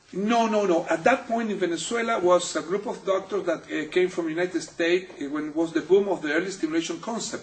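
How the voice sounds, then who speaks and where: Speaking very fast with hardly any pauses, a man with a Spanish accent and a high pitch shows ordinary pitch variation over noticeable background noise. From Chile, Santiago. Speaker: physical therapist. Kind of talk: interview. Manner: halting.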